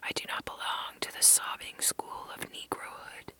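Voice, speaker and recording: A fairly slow whisper with noticeable background noise behind it. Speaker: ASMR reader. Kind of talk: essay reading. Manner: whispered.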